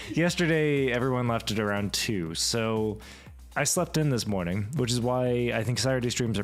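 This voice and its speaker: A man talking very fast with lively intonation, music playing in the background. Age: 20s. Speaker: streamer. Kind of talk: casual chat. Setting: home livestream with podcasting microphone.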